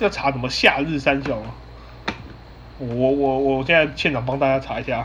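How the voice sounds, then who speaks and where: A man speaks with a Taiwanese accent at a fairly high pitch. His pace is moderate, with noticeable background noise behind him. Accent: Taiwanese Mandarin. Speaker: podcast host. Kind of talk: casual chat. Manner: halting, many repeated words.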